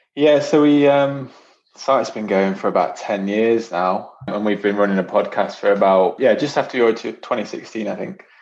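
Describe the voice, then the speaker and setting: With a Nottingham accent, a man speaks at a medium pitch. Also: ordinary pitch variation, moderate pace. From Nottingham, England. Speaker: football podcaster and writer. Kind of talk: interview.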